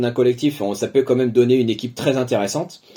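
Against a quiet background, a man talks in a dark, mellow tone at medium pitch. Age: 30s. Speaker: paralympic fencer. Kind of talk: interview. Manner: halting, many fillers.

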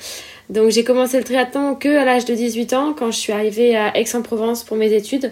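Over noticeable background noise, a woman with a high pitch speaks fairly quickly in a monotone, flat intonation. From Réunion. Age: 20s. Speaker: professional triathlete. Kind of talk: casual interview.

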